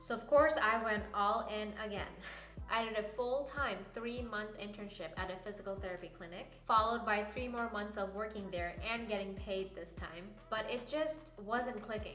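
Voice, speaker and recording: A woman's fairly high voice, moving at a moderate tempo with ordinary pitch variation, carries through noticeable background noise and audible room echo. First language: not English (English is third language). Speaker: physician assistant student and video creator. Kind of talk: personal story vlog.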